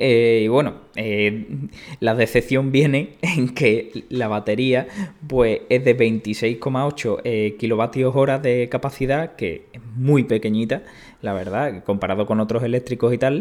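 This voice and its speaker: Very slowly, a man talks, his pitch varying in an ordinary way. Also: medium pitch for a man. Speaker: tech podcast co-host. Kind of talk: casual chat. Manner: hesitant, many fillers.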